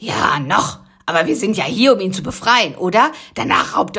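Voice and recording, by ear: This is someone reading aloud in a natural voice with lively intonation.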